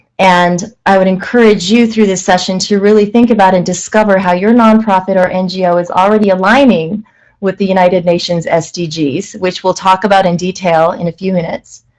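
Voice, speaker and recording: The speech comes at a fairly quick pace with hardly any pauses. Its intonation stays fairly even. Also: woman, medium pitch for a woman. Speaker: management consultant and webinar presenter. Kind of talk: webinar presentation. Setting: online webinar. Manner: fast.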